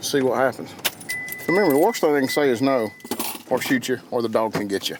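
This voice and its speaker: Speaking with a Southern US accent, a man talks at a fairly quick pace at a medium pitch with ordinary pitch variation. Noticeable background noise runs underneath. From Georgia, US South. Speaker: hunting show host. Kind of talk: casual chat; tutorial.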